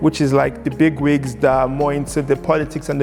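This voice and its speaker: A man talks at a moderate pace. Background music plays throughout. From Lagos, Nigeria. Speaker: poet and spoken word artist. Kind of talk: interview answer.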